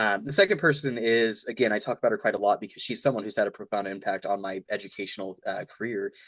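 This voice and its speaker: A man speaks at medium pitch with ordinary pitch variation. The sound is dry and close with no echo, and the background is quiet. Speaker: student officer candidate. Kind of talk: casual interview. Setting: video call. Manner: fast.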